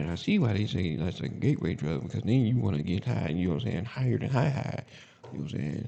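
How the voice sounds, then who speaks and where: A man speaks very fast in a very deep, low voice with very wide pitch swings, over noticeable background noise. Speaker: podcast host. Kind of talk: casual monologue. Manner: mumbling at times; halting, filler-heavy.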